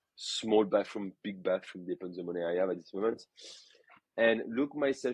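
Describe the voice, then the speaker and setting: A man speaks with a French accent at a medium pitch, with lively intonation. The sound is dry and close, with no echo. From France, Burgundy. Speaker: photographer. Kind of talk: podcast interview. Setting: podcast.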